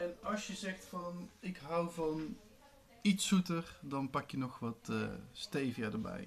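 Over faint background music, a man with a high voice speaks at a very slow pace. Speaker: video blogger; home drink demonstrator. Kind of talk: tutorial; casual tutorial. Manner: casual, with frequent fillers. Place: kitchen. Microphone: camera far.

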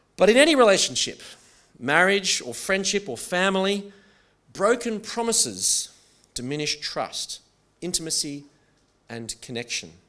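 The loudness swings widely at a moderate pace. Long pauses come often. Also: man, quiet background. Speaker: pastor. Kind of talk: sermon. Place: church. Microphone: podium.

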